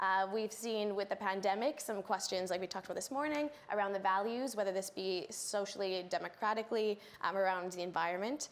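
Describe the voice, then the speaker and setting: In a Canadian accent, a woman with an unremarkable speaking voice talks at a fairly quick pace, her medium pitch showing ordinary variation. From Canada. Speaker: political scientist, lecturer. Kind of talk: panel discussion.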